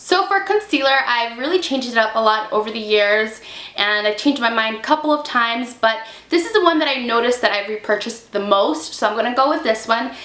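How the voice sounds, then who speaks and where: Through noticeable background noise, a woman with a fairly high pitch rushes along at a very fast pace with lively intonation. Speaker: beauty vlogger. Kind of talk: casual product review to camera. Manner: chatty, casual.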